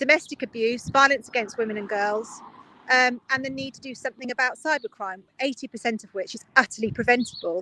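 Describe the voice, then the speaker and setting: Recorded with a dry, close sound and no echo, a woman with a southern English accent speaks at a fairly quick pace in a high pitch, her tone bright and sharp, with ordinary pitch variation. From Oxfordshire, England. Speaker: politician, local councillor. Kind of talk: interview answer.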